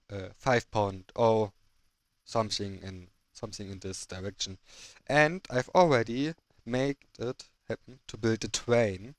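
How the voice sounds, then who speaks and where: A man with a German accent at medium pitch and a fairly slow pace, with ordinary pitch variation, on a very clean recording with a silent background and a dry, close sound with no echo. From Germany. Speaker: gaming video creator. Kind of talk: gameplay commentary. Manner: halting.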